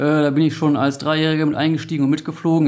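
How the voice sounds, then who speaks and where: This man speaks at a very fast pace. His voice is fairly high in pitch. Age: 30s. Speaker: police helicopter crew officer. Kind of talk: interview.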